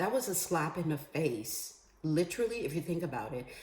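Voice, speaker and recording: Her voice somewhat breathy, a woman talks in an animated tone at a moderate pace. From Bahamas. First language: Creole. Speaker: vlogger. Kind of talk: political commentary monologue.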